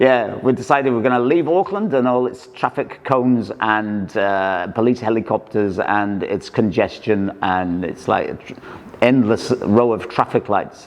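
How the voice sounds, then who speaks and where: Noticeable background noise sits under a man's medium-pitched voice with ordinary pitch variation. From Wales, small town. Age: 60s. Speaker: printer and artist, motorbike owner. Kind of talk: casual interview. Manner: halting, with many restarts.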